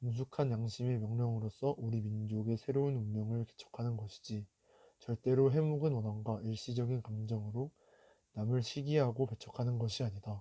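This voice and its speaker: A man talks at a moderate pace and medium pitch, with fairly even intonation. His tone is dark and mellow, and somewhat breathy. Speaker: youth reader reciting a historical declaration. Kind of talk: solemn historical declaration reading.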